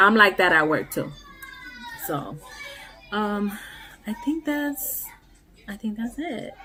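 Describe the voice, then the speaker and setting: Music plays behind a woman speaking at a medium pitch. She goes very slowly, with very wide pitch swings. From Puerto Rico. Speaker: nail art vlogger. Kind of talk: casual vlog monologue. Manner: casual, with many fillers.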